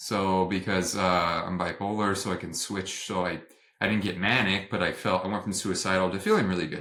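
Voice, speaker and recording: A man with a very deep, low voice speaks at a fairly quick pace in a flat monotone. His tone is bright and sharp, and the recording is very clean with a silent background. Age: 30s. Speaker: nurse practitioner. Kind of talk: interview testimony. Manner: halting, many fillers.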